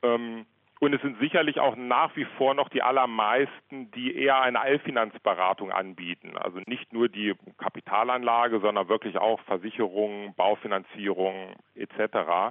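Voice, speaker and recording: A man's medium-pitched voice at a moderate pace. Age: 40s. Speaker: financial strategy consultant. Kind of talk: interview. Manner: hesitant, many filler sounds.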